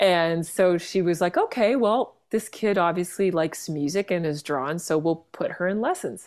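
Speaking with a Canadian accent and an ordinary speaking voice, a woman talks at a moderate pace with hardly any pauses. Her pitch varies in an ordinary way, and the recording is very clean with a silent background. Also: fairly low pitch for a woman. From Vancouver, Canada. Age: 40s. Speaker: jazz singer-songwriter and pianist. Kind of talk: casual interview chat.

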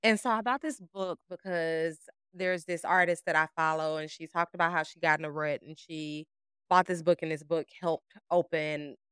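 In a dry, close sound without echo, a woman with an unremarkable speaking voice talks at a moderate pace and fairly low pitch, her intonation fairly even but her loudness swinging widely. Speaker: podcast co-host. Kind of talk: casual chat.

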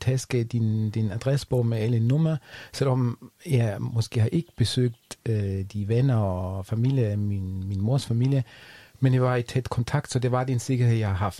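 Dry and close with no echo, a man's voice sits at a medium pitch with a dark, mellow tone. He speaks fairly slowly with fairly even intonation. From Germany. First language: German (speaking Danish). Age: 40s. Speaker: podcast guest, expat. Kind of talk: casual interview. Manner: halting.

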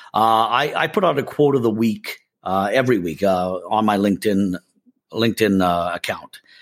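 A normal speaking voice from a man with fairly low pitch, ordinary pitch variation, very even loudness, and a moderate pace. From Canada. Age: 50s. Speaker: sales and marketing consultant. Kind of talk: interview.

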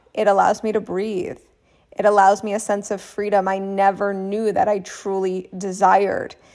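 A woman with medium pitch speaks in an animated tone at a moderate pace. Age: 30s. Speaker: podcast host and business coach. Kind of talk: solo podcast monologue.

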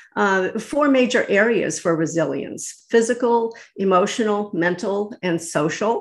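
A woman's plain, everyday voice with an American accent, medium pitch, ordinary pitch variation, a fairly slow pace, hardly any pauses and a quiet background. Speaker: lawyer, real estate broker and life coach. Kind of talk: interview conversation. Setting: remote call.

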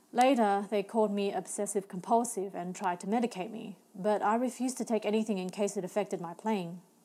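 Talking at a fairly quick pace with hardly any pauses, the woman keeps her intonation fairly even. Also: medium pitch for a woman. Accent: Australian. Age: young. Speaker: novelist. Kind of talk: reading aloud.

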